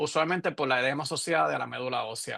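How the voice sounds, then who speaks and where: The voice belongs to a man and has a bright, sharp tone. Delivery is fairly quick. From Puerto Rico. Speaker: radiologist, professor. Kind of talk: lecture. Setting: webinar. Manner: halting, with fillers and self-corrections.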